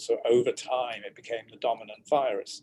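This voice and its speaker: Here a man speaks in a British accent. His pace is moderate. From Britain. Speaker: virologist and professor. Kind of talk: expert interview. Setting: video call.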